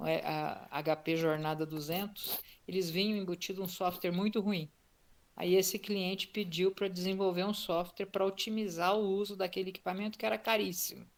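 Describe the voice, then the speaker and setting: A woman with an ordinary speaking voice keeps to a medium pitch and fairly even intonation, talking at a moderate speed. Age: 60s. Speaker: retired tech entrepreneur. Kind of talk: interview.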